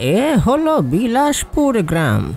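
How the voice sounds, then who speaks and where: A man's put-on character voice at a very slow pace, with very wide pitch swings and crowd noise in the background. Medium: audio drama.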